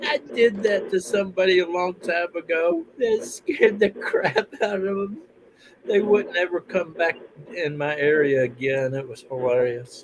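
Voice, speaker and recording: Over noticeable background noise, someone with an Alabama accent speaks at a fairly slow pace. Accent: Southern US (Alabama). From US South, Alabama. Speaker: military veteran. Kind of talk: casual chat.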